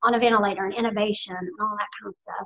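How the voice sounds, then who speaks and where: Words come out at a very fast pace, and the pitch shifts in an ordinary way. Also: woman. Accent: Southern Appalachian. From US South, Blue Ridge Mountains. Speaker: near-death experience survivor. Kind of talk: interview testimony.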